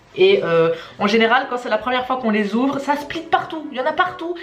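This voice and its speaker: With a Charleroi accent, a woman speaks in very wide pitch swings amid noticeable background noise and audible room echo. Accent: Charleroi (carolo) Belgian French. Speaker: shop employee presenting. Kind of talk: tasting video and FAQ presentation. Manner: hesitant, many filler sounds.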